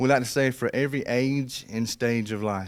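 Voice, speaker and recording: A man speaks with a South Georgia accent and ordinary pitch variation. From US South, south Georgia (Colquitt, Miller County). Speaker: pastor. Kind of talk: interview. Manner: conversational, with fillers.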